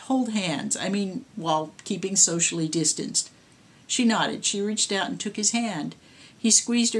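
The reading here is done in a natural reading voice.

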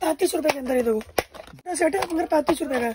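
At a fast pace, a man speaks in an extremely high voice with a slightly mellow tone. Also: ordinary pitch variation.

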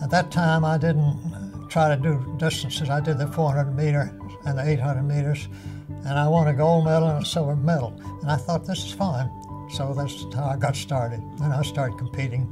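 Clear music plays behind a man speaking at a moderate pace. His pitch is fairly high, with ordinary pitch variation. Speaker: lawyer and war veteran. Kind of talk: interview answer. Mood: warm, reminiscing. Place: office.

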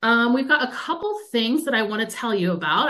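A woman's fairly high-pitched voice comes through with a bright, sharp tone. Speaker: museum public programs manager. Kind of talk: webinar hosting. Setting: video call. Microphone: webcam.

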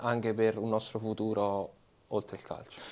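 A man speaks at a fairly quick pace in a monotone, flat intonation. His voice is dark and mellow at medium pitch. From Italy, Molise (Campobasso); Molise. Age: 20s. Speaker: professional footballer; interviewee. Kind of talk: interview. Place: studio.

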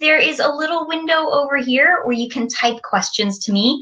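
Her intonation is lively as the woman talks. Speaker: presenter. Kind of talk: lesson for young children. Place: home room. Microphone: webcam.

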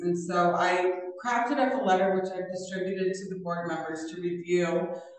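The background is quiet. Strong room echo surrounds the voice. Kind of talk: meeting discussion. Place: meeting room.

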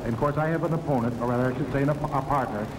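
A man is speaking. There is noticeable background noise. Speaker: professional wrestler. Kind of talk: wrestling promo, a boastful locker-room interview in character. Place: hall. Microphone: handheld.

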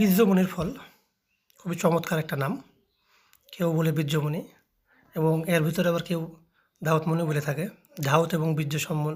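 Fairly high-pitched man's voice with fairly even intonation. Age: 30s. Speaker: herbal healer and video channel host. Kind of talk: informal health advice vlog. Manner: halting.

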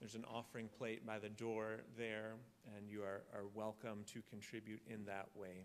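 The man's speech moves along at a moderate pace. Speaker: pastor leading the service. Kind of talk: service announcements and liturgical reading. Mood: calm, solemn. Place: church.

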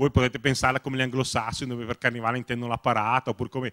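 Using a medium pitch, a man speaks with a Lombard accent. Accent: Bergamo. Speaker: science blogger. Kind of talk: panel talk. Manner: hesitant, many fillers.

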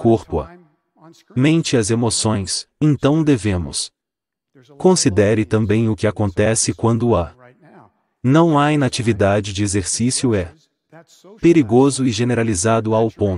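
The delivery is fairly slow, with lively intonation and a dark, mellow tone. The sound is dry, with no echo. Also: man. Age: 60s. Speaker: nonprofit co-founder, speaker; speaker. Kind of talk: public talk. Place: stage. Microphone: headset.

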